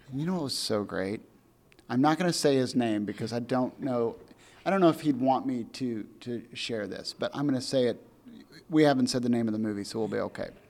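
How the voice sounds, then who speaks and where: A man with an American accent in a normal speaking voice, medium in pitch with ordinary variation, at a fairly quick pace. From US Midwest, farm community. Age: 40s. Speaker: podcast host. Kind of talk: casual interview chat.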